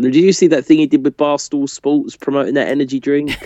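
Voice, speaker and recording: A man's fairly high voice with very wide pitch swings and a British accent. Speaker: podcast co-host. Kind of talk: casual chat.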